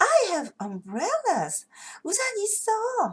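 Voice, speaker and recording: Putting on a squeaky character voice, a woman speaks at an extremely high pitch and a very slow pace in a cheerful tone. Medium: read story. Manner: eager, cheerful.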